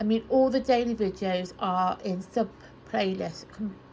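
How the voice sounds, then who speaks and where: The speaker is soft-spoken and somewhat breathy, with a British accent. The pace is fairly slow, with ordinary pitch variation. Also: woman. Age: 30s. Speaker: Bible study YouTuber. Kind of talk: casual chat. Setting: in her bedroom, on her bed.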